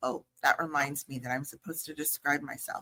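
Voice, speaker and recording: In a dry, close sound with no echo, a woman speaks with a very deep, low pitch, a bright, sharp tone and ordinary pitch variation. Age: 60s. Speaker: judge. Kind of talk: conference presentation. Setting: stage with audience.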